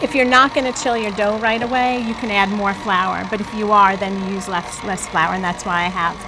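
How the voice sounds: At a fairly quick pace, a woman with an American accent speaks at a medium pitch with fairly even intonation over clear background noise.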